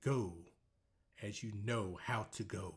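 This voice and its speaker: A man puts on a character voice, pitched fairly low, with ordinary pitch variation. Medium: read story. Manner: calm, knowing.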